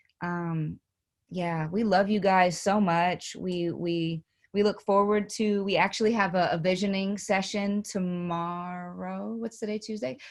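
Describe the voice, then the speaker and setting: In an East Coast US accent, the speaker goes at a fairly slow pace with ordinary pitch variation, on a very clean recording with a silent background. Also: woman, medium pitch for a woman. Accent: East Coast US twang. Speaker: podcast co-host. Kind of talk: casual chat. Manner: halting, many repeated words.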